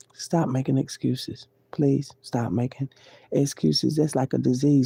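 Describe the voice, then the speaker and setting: In a dry, close recording with no echo, a woman with a very deep, low voice and a dark, mellow tone talks at a moderate pace with lively intonation. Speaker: live streamer. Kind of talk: casual livestream monologue. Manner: loud at times; animated.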